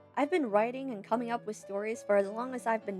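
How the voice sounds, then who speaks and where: A woman's medium-pitched voice with ordinary pitch variation, music playing in the background. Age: young. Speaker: writer and animator. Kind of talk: casual talk to camera.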